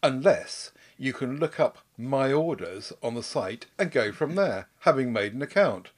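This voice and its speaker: A man with a normal speaking voice talks at a fairly slow pace and a fairly high pitch. His intonation is lively, and the recording is very clean with a silent background. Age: 60s.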